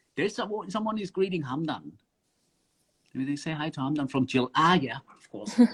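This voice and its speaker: A man with a German accent talks in a fairly high voice at a fairly quick pace, his intonation lively and his loudness swinging widely, with long, frequent pauses. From southern Germany (Swabia). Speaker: underwater filmmaker. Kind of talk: casual interview. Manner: hesitant with many fillers.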